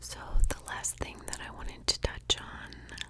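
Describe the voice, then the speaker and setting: Whispering in a soothing tone, a woman speaks at a very slow pace over noticeable background noise. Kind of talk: ASMR whisper ramble, intimate talk to camera. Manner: whispered, slow, soothing.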